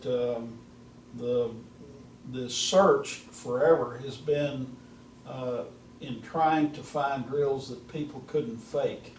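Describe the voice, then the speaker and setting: Over noticeable background noise and audible room echo, a man speaks very slowly at a medium pitch. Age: 70s. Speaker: golf instructor. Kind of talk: casual chat.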